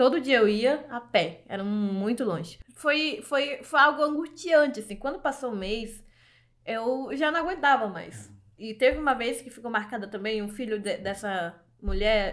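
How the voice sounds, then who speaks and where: A woman talks at a fairly slow pace in a high pitch. Her intonation is lively, with big swings in loudness. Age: 20s. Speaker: journalist. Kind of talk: interview testimony.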